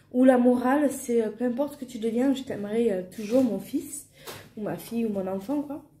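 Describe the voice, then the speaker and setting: Fairly even intonation from a woman at a fairly high pitch and moderate pace, with audible room echo. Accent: southern French. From southern France. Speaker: family vlogger. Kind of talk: casual vlog talk. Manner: hesitant, many fillers.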